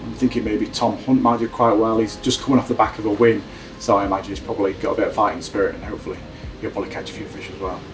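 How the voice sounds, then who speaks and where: Over background music, a man with a Yorkshire accent talks very fast, his loudness rising and falling sharply. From South Yorkshire, England. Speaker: angler. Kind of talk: interview.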